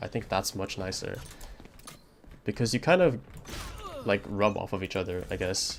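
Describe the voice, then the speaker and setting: Noticeable background noise sits behind a man speaking with a non-native accent. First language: not English. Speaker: streamer. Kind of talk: casual chat. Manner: hesitant, filler-heavy.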